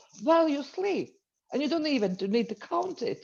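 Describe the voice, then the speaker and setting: With a Latvian accent, a woman speaks at a moderate pace in a dark, mellow tone with lively intonation. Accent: non-native, Latvian. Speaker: entrepreneur and business coach. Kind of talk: webinar presentation. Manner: halting.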